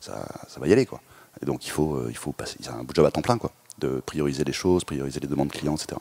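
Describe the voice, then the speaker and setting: A man's very deep, low voice at a fairly quick pace, with ordinary pitch variation, a dry, close sound with no echo, and noticeable background noise. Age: 30s. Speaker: startup founder and CEO. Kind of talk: interview.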